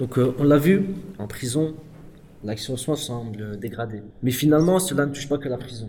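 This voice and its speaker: Over noticeable background noise, a man's medium-pitched voice rises and falls sharply in loudness. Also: ordinary pitch variation, moderate pace. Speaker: podcast moderator, prison workshop participant. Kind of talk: moderated discussion.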